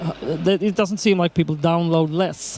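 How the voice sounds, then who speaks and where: Noticeable background noise surrounds a man with a Swedish accent. He speaks at a high pitch with fairly even intonation. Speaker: keynote speaker, documentary producer. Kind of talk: conference Q&A answer. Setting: conference stage with audience. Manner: halting.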